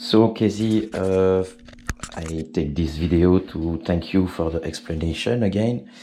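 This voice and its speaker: A man with a French accent talks at a very slow pace, his intonation fairly even. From Belgium, French-speaking. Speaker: RC helicopter hobbyist. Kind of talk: tutorial. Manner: halting, many fillers.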